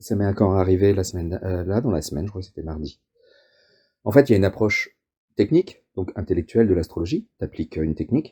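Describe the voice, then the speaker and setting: A man's very deep, low, somewhat breathy voice with a dark, mellow tone at a very fast pace, dry and close with no echo on a very clean recording with a silent background. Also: ordinary pitch variation. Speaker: astrologer. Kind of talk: interview. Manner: hesitant, repeats words.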